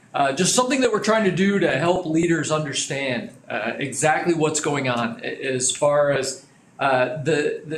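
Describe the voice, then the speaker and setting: There's audible room echo and light background noise as a man talks at a moderate pace. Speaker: business trainer. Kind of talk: lecture. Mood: friendly, lightly humorous. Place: studio.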